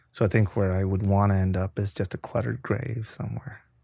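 A man's fairly low, dark, mellow voice with vocal fry, at a fairly quick pace with lively intonation, in a very clean recording with a silent background. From Mexico, Tijuana. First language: Spanish. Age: 40s. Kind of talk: casual chat.

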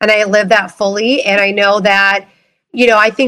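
A woman's medium-pitched voice with a Midwestern US accent, bright and sharp in tone, monotone and flat in intonation, at a moderate pace. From Minneapolis, Minnesota, US Midwest. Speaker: network marketing entrepreneur. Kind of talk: panel discussion.

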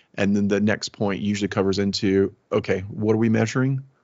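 A man with a slight Southern US accent, fairly low in pitch, at a fairly quick pace with fairly even intonation. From US South, Alabama. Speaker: technology executive. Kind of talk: interview conversation.

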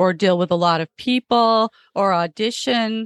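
With an American accent and a normal speaking voice, a woman talks at a fairly slow pace and medium pitch with ordinary pitch variation, in a dry, close sound with no echo over a quiet background. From Florida. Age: 50s. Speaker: comedian. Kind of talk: casual chat.

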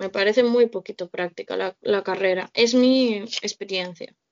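Her pitch moves in a normal way. The woman's delivery is fairly slow. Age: 20s. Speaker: social integration worker. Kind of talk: casual chat.

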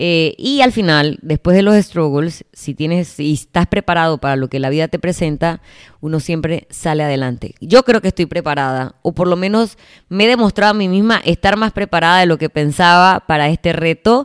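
Lively intonation and an animated tone from a woman with fairly low pitch, at a moderate pace, in a dry, close sound with no echo. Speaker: fitness coach and gym owner. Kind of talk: casual solo podcast monologue.

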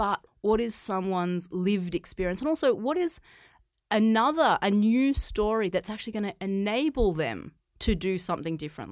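Lively intonation at a moderate pace, with an Australian accent, on a very clean recording with a silent background. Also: woman, medium pitch for a woman. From Australia, rural farm. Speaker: physiotherapist, pain management practitioner. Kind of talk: interview conversation.

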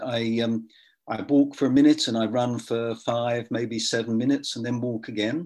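A man speaks at a moderate pace and medium pitch in a flat, monotone way. The recording is very clean, with a silent background. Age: 70s. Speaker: author and ultra runner. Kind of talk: casual interview chat.

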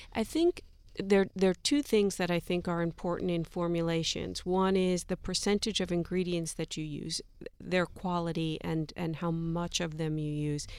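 A woman with a plain, everyday voice talks at a moderate pace, her fairly low pitch held in fairly even intonation. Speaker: skincare brand executive. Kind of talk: radio panel discussion. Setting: studio.

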